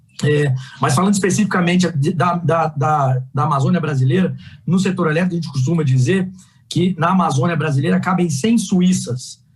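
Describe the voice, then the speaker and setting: At a fairly quick pace, a man with a fairly high pitch speaks at a very even loudness. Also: ordinary pitch variation. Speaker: energy sector executive. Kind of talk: panel talk. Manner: fast.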